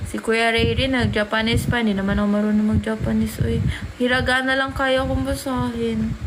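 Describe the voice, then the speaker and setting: Amid noticeable background noise and audible room echo, a woman speaks at a fairly quick pace with very even loudness. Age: 20s. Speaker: livestreamer. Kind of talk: casual livestream chat. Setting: livestream.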